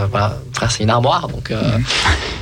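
Music in the background and audible room echo around a man speaking. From France, of Algerian descent. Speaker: author and singer. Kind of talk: testimony.

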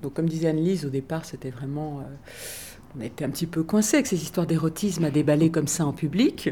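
Very deep, low pitch from a woman with ordinary pitch variation. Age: old. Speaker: actress and reader. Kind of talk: interview.

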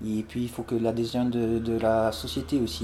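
Dark and mellow is the tone of this man's voice. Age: 40s. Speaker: former police officer. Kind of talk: interview, casual. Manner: halting, many hesitations.

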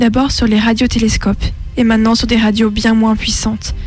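Music plays in the background as a woman with a fairly high pitch speaks in a monotone, flat intonation. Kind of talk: creepy recorded message from a distressed woman. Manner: eerie, hushed, trembling, haunted.

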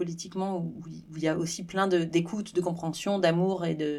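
A woman speaks at a moderate pace in a fairly low, dark, mellow voice with flat, monotone intonation. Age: 40s. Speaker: podcast host. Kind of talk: casual interview.

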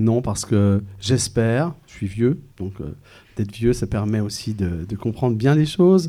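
This man has a medium pitch and a dark, mellow tone. He speaks at a fairly slow pace with ordinary pitch variation. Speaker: school principal. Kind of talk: interview answers. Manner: hesitant.

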